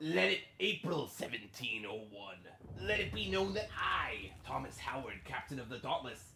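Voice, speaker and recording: A man's put-on character voice, theatrical in tone and medium in pitch, at a moderate pace over clear background noise. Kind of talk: archaic, formal proclamation. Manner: theatrical, gruff swagger.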